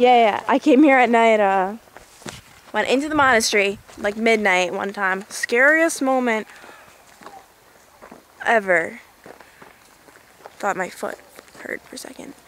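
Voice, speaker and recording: A woman speaks with long, frequent pauses over light background noise. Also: fairly slow pace, dry sound with no echo. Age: young. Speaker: vlogger. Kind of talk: casual vlog talk. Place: open country. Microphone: phone near.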